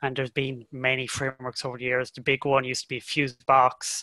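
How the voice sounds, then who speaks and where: In a dry, close recording with no echo, a man with a medium pitch and a bright, sharp tone speaks at a moderate pace. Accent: slight Irish. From Ireland, County Cork. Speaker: software developer. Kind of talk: interview podcast.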